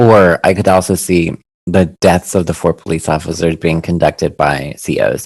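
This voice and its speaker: A man talks in a very deep, low pitch at a moderate pace, his intonation fairly even. The sound is dry and close, with no echo. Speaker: podcast co-host. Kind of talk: casual chat; podcast outro.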